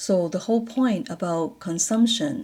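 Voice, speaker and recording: The voice is somewhat breathy with a dark, mellow tone, moving at a moderate pace with lively intonation. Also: woman. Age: 60s. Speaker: vlogger and retiree sharing life reflections. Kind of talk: personal reflective monologue. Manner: hesitant with fillers.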